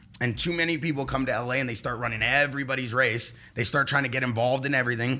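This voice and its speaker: A man with a Californian accent, animated and very fast, with a medium pitch, a bright, sharp tone and hardly any pauses. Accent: Californian American English. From Los Angeles, California. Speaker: pro paintballer and entrepreneur. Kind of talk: casual chat.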